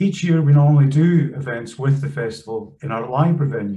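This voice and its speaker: A man speaks in a dark, mellow tone. His voice is somewhat breathy, over light background noise. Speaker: events host. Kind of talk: webinar introduction. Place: home room. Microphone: webcam.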